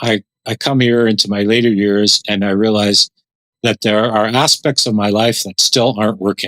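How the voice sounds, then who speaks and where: A man with a Canadian accent speaks at a moderate pace, with fairly even intonation, very even loudness and a dry, close sound with no echo. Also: very clean recording, silent background. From Canada, Dutch immigrant family. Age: 60s. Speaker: author and former pastor. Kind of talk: interview. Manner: reflective, halting with repetitions.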